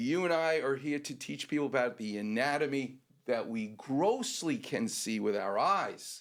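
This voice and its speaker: On a very clean recording with a silent background, a man with a normal speaking voice talks at a fairly high pitch and moderate pace with lively intonation. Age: 60s. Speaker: orthopedic doctor co-host. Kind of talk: casual chat.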